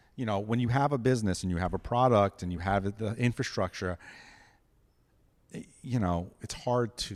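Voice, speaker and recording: On a very clean recording with a silent background, a man with an American accent and a fairly low pitch talks at a moderate pace, with long, frequent pauses, big swings in loudness and ordinary pitch variation. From New York City. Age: 50s. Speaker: ceramic artist. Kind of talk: casual interview chat. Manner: halting, many restarts.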